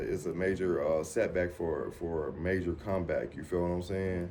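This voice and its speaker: Audible room echo surrounds a man speaking at a moderate pace with a very deep, low pitch and a dark, mellow tone. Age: 40s. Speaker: dialysis patient. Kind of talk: documentary interview. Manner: halting, repetitive.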